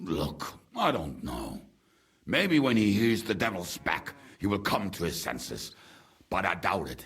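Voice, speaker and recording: Using a put-on, growling character voice, a man speaks at a fairly low pitch and a moderate pace with lively intonation and long, frequent pauses. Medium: video game. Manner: blunt, crude.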